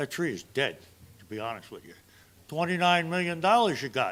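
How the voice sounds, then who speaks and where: Speaking at a moderate pace with an American accent, a man uses a high voice that swings very widely in pitch. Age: 70s. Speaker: public commenter at city council. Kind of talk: public comment at council meeting. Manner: animated.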